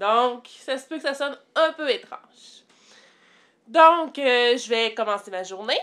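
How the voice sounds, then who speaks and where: Speaking at a very slow pace, a woman with a Quebec accent uses a high pitch and lively intonation. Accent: Québécois French. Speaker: vlogger, mother. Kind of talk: casual vlog. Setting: at home. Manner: hesitant with fillers.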